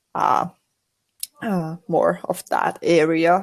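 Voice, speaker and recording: A woman with a Finnish accent. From Finland. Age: 20s. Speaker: university student and streamer. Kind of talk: casual podcast interview. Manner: halting.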